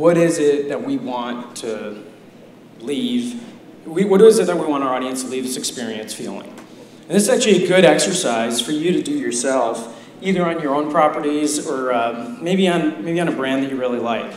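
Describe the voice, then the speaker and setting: This man's voice sits at a fairly high pitch and makes very wide pitch swings. He keeps a moderate pace against noticeable background noise. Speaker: digital marketing executive. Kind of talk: conference talk. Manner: soft-spoken.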